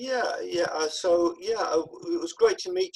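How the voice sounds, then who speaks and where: A man talks with a southern English accent. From southeast England. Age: 60s. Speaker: peer support worker and author. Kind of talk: interview. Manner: hesitant, many fillers.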